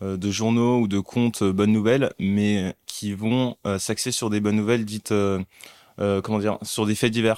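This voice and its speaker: A man with a plain, everyday voice speaks at a moderate pace in a fairly low pitch, his intonation fairly even, in a very clean recording with a silent background and a dry, close sound with no echo. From Paris region, born in Mali. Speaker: content creator and investor. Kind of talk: casual interview.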